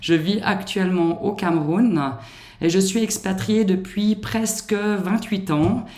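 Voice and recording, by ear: A woman's medium-pitched, slightly mellow voice with a slight Swiss French accent, fairly slow, with ordinary pitch variation.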